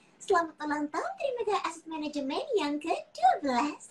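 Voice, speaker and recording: In a put-on character voice, a female-sounding speaker talks at an extremely high pitch. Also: moderate pace. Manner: cheerful, greeting.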